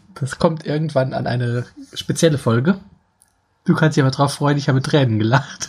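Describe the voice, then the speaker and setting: A man with a fairly high pitch and a somewhat breathy voice talks at a fairly quick pace, with ordinary pitch variation and long, frequent pauses. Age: 40s. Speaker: podcast co-host. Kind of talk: casual chat.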